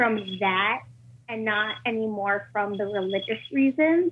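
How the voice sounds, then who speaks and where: A woman's plain, everyday voice, fairly high in pitch, fairly slow, with ordinary pitch variation. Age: 20s. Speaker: caller. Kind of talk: call-in question.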